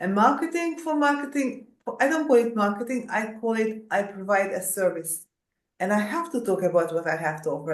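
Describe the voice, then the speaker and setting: A woman with a Hungarian accent speaks with lively intonation amid audible room echo. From Hungary, Budapest. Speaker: executive coach and coach assessor. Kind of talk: interview. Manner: halting.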